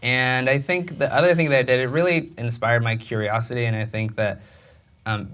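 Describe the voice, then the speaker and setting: This is a man speaking. He has a Spanish accent. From Mexico. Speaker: film director. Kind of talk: onstage interview. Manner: halting, many repetitions and fillers.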